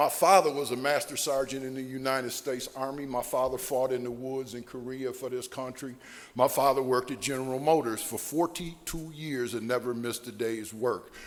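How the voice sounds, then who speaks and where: A man with an American accent, medium pitch, fairly quick pace and fairly even intonation, over noticeable background noise. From Ohio (Sandusky). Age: 60s. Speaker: recovering alcoholic speaker. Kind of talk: AA speaker talk / testimony.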